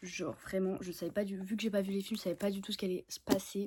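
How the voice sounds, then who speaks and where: A woman with a somewhat breathy voice at a medium pitch talks at a very fast pace. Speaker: book vlogger. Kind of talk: casual vlog chat. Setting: filming at home in bed. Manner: animated.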